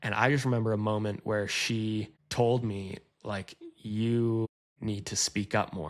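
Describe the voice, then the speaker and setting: A man with a Canadian accent speaks at a fairly slow pace in a fairly low voice. His delivery is monotone and flat, and the recording is very clean with a silent background. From Canada. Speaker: creative director. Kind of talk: casual interview chat. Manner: confident.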